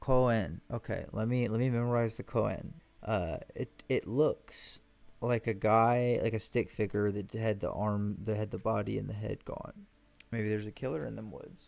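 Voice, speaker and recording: A man with a Southern US accent and an animated tone, on a very clean recording with a silent background. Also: moderate pace. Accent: Southern US twang. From US South. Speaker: gaming streamer. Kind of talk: let's play commentary. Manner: casual, animated.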